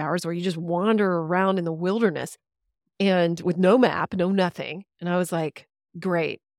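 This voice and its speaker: A woman with a Texan accent talks at a fairly quick pace. Her pitch is fairly low, and the sound is dry and close with no echo. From Texas. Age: 50s. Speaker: podcast guest, former radio host and author. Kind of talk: casual interview. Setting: video call.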